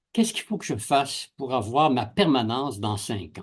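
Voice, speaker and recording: This man's voice is somewhat breathy at a medium pitch. His pitch swings very widely. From Quebec. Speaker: university professor. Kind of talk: interview, personal anecdotes. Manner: animated storytelling.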